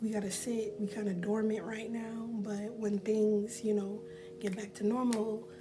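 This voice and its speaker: A soft-spoken woman's voice in a monotone, flat intonation at a moderate pace, with noticeable background noise. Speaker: beauty vlogger. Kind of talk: casual talk to camera.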